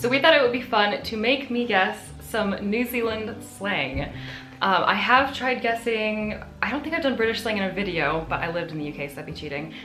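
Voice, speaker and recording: Against background music, a woman with an American accent talks at a fairly quick pace, her fairly high voice making very wide pitch swings. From United States. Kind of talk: casual conversation on camera.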